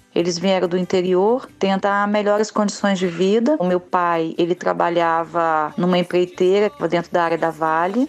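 Her voice is a plain, everyday voice, a woman's at a fairly low pitch, with very even loudness. She keeps a moderate pace and fairly even intonation, with hardly any pauses. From Cariacica, Espírito Santo, Brazil. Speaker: community project founder. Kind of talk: testimony.

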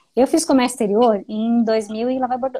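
A woman's very fast, high-pitched speech with a dark, mellow tone and ordinary pitch variation. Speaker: live stream host. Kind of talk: interview. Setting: live stream.

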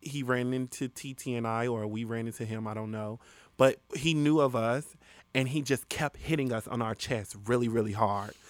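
A man with a medium pitch and fairly even intonation talks at a moderate pace, captured on a very clean recording against a silent background. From Chicago, west side. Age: 20s. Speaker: rapper and singer. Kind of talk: casual chat.

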